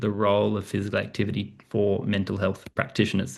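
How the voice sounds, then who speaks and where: With an Australian accent, a man speaks at a fairly quick pace and fairly low pitch, showing vocal fry against a quiet background. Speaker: professor. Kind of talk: presentation. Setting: video call. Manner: fast.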